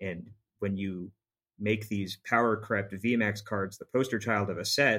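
A man with an unremarkable speaking voice talks at a moderate pace, his pitch fairly low and his intonation fairly even. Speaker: podcast co-host for a season arc. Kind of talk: casual chat about card games. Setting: studio.

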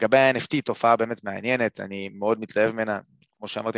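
A man with fairly low pitch and fairly even intonation, in a dry, close sound with no echo. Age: 30s. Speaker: investment educator. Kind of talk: webinar lecture. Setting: live webinar. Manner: halting, many fillers.

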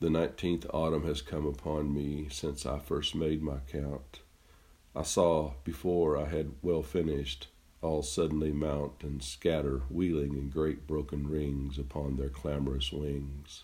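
A man's very deep, low voice, dark and mellow in tone, somewhat breathy, with monotone, flat intonation. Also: fairly slow pace. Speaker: poet and podcast host. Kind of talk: poetry reading. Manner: slow, measured, reflective, with a pensive, melancholy reading; conversational, with some hesitations in the intros.

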